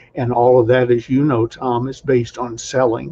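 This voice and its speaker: A man with an American accent talks at a fairly quick pace and medium pitch. His voice is somewhat breathy, with monotone, flat intonation. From US South, Atlanta. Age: 70s. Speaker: sales trainer. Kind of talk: interview.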